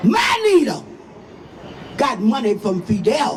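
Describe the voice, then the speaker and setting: A woman speaks very slowly with very wide pitch swings, amid audible room echo and noticeable background noise. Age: 80s+. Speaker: activist pastor. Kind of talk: rally speech. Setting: outdoor rally. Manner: animated.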